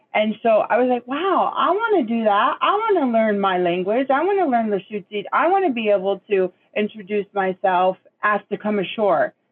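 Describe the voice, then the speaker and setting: With an American accent, a woman talks at a moderate pace in an unremarkable speaking voice, her pitch fairly high, her intonation lively and her loudness very even. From Puget Sound, Washington (Nisqually). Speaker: Native language student. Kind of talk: interview.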